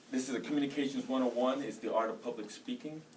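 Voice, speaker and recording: Noticeable background noise fills the recording. Through it, a man talks with an American accent. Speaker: soldier and college student. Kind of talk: class speech. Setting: room with audience. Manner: loud; fast.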